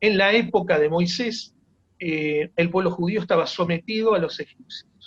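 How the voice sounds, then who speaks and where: This man has a high voice. His pace is fairly slow. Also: ordinary pitch variation. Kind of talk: informal teaching talk. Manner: halting, many fillers.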